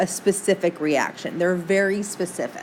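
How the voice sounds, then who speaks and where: A woman's medium-pitched voice with a Midwestern American accent. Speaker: teacher. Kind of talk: lecture. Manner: casual, chatty.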